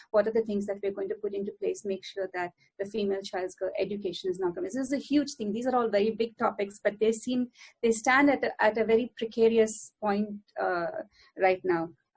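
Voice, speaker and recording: A woman speaks fairly quickly at a fairly high pitch. Her voice is somewhat breathy, with ordinary pitch variation. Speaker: academic researcher on gender equality. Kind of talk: panel talk. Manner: fast; hesitant with many fillers.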